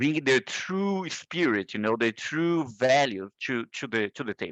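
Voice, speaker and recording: The intonation is lively. The sound is dry and close with no echo, over a quiet background. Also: man. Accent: Portuguese. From northeast Brazil. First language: Portuguese. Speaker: procurement leader. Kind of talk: interview.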